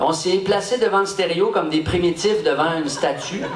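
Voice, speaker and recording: High-pitched male voice with a Quebec accent, audible room echo and noticeable background noise. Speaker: rapper, event host. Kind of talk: stage address. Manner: hesitant, with fillers.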